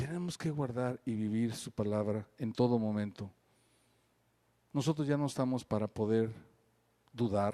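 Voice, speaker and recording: A man with a medium pitch and a dark, mellow tone speaks at a fairly slow pace. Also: very clean recording, silent background. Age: 60s. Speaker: pastor. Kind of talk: sermon.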